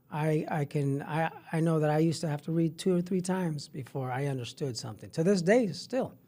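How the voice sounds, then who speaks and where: With a Spanish accent, the voice has a dark, mellow tone, ordinary pitch variation, and hardly any pauses. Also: man, fairly high pitch for a man. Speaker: middle school health teacher. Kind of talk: podcast interview. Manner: halting, many repetitions.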